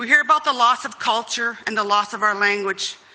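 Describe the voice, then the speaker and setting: Noticeable background noise sits behind a woman speaking at medium pitch. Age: 50s. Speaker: community member, intergenerational residential school survivor. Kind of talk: testimony.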